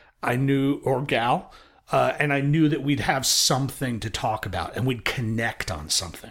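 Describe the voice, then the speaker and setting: A man's plain, everyday voice at a medium pitch and moderate pace, with lively intonation and an American accent. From US Northeast, Brooklyn, New York. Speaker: music industry sales executive. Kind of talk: interview.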